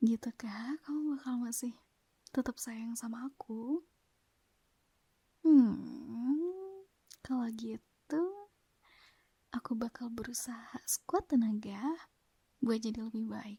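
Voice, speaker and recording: Soft-spoken and high-pitched, a woman with a dark, mellow tone talks at a very slow pace with long, frequent pauses, ordinary pitch variation and big swings in loudness, in a dry, close sound with no echo. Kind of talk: ASMR girlfriend roleplay.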